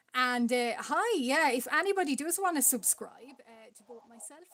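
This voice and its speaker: At a fairly slow pace, a woman with an Irish accent speaks in a high pitch with lively intonation. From Ireland. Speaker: art streamer. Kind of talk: casual chat. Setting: live stream.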